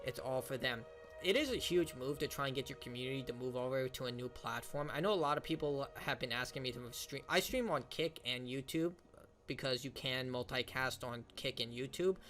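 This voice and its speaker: A man speaks at a fairly quick pace. Music plays behind him. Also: medium pitch for a man, ordinary pitch variation. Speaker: streamer reacting to gaming news. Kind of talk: casual reaction commentary. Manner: fast.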